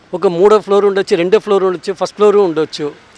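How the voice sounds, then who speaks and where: Noticeable background noise accompanies a man who speaks at a high pitch with fairly even intonation, the sound dry and close with no echo. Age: 60s. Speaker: food delivery rider. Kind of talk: interview answer.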